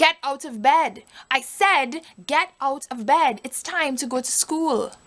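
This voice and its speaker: A woman does a put-on character voice, high-pitched and shrill, at a fairly slow pace. Her pitch varies in an ordinary way while her loudness swings widely. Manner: scolding, berating.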